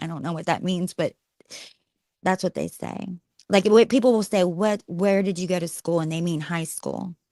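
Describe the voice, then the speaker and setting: A woman with an American accent speaks at a moderate pace in a fairly low, dark, mellow tone with fairly even intonation. The sound is dry and close with no echo, and the recording is very clean with a silent background. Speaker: former radio host. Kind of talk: casual chat on a live stream.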